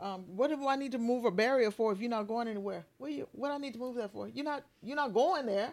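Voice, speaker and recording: A woman speaks with a Southern US accent at a fairly high pitch and with lively intonation. She talks at a very fast pace with hardly any pauses. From US South, South Carolina Lowcountry. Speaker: preacher and spoken word artist. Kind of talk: casual interview chat.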